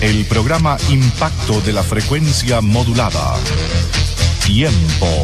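Against loud music in the background, a man speaks at a very slow pace with long, frequent pauses. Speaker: radio announcer. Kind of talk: radio program presentation / station intro. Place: studio.

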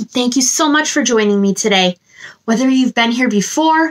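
Over a quiet background, a woman talks at a moderate pace with a high pitch and lively intonation. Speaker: children's story time host. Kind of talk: animated talk to children. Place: home room.

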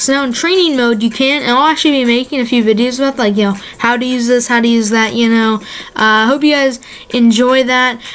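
A high-pitched woman with an enthusiastic tone, talking very fast over noticeable background noise. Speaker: gaming YouTuber. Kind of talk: casual video commentary. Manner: casual, filler-heavy, enthusiastic.

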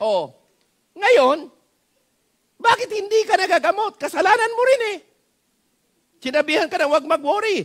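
A man with an extremely high pitch and an animated tone at a moderate pace, with long, frequent pauses over a quiet background. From Philippines. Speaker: pastor. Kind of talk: sermon. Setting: church. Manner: animated, exhortative, pleading with the congregation; Taglish, folksy and humorous, with repeated rhetorical questions and frequent 'Amen?'. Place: church. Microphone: headset.

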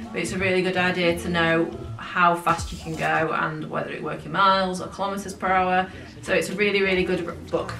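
The speech comes at a very fast pace. Room echo is audible, and music plays clearly in the background. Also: woman. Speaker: travel vlogger. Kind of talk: casual vlog chat. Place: home room.

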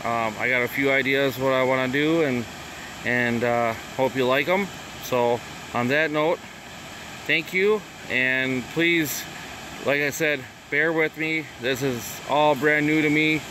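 With a Wisconsin accent, a man speaks at a fairly high pitch and a fairly slow pace, using ordinary pitch variation, very even loudness, and long, frequent pauses. The sound is dry with no echo, with noticeable background noise. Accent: Upper Midwest (Wisconsin). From Wisconsin, Chippewa Falls area. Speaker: vlogger; first-time vlogger. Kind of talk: casual vlog tour. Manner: halting, many fillers. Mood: relaxed, a bit unsure. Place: waterside. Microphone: phone near.

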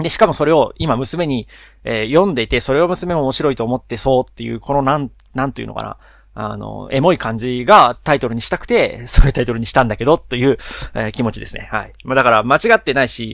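Recorded very cleanly against a silent background, a man talks at a very fast pace. His medium-pitched voice has vocal fry and ordinary pitch variation. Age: 30s. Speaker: podcast host, engineer. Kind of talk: casual solo talk.

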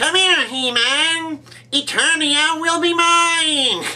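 In a put-on character voice, a man speaks at a very slow pace with an extremely high pitch. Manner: villainous, threatening.

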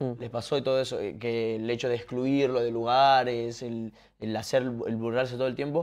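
Over a quiet background, a man with a medium pitch speaks at a moderate pace in a monotone, flat intonation. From Argentina, Tucumán; Argentina. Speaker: podcast and stream host; podcast, stream host. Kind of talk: casual interview chat. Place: home room.

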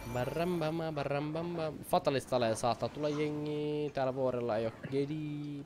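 A man with a fairly high pitch, hardly any pauses, and noticeable background noise. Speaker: gaming YouTuber; gaming streamer. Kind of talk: live gameplay commentary. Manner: fast; animated. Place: home room.

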